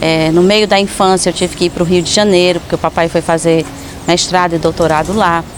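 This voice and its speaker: A woman with a relaxed tone and a fairly low pitch, flat and monotone at a fairly quick pace, very even in loudness, over noticeable background noise. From Ceará, Brazil. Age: 40s. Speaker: actress and performer. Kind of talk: personal life story monologue. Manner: spontaneous, relaxed.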